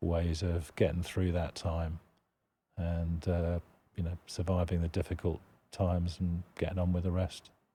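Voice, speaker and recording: On a very clean recording with a silent background, a man with a British accent speaks at a fairly slow pace in a very deep, low voice that is somewhat breathy, dark and mellow, with monotone, flat intonation. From United Kingdom. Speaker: charity executive director. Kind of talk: podcast interview.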